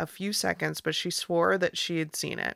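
Recorded very cleanly over a silent background, the sound is dry and close with no echo. A woman with an American accent talks at a moderate pace. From United States. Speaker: podcast host. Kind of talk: casual chat. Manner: animated.

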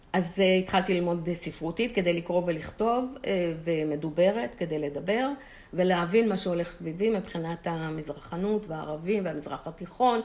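Here a woman speaks in a plain, everyday voice with a fairly low pitch. Her pace is moderate and her pitch variation ordinary. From Israel, Holon. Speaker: retired chemist. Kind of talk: interview.

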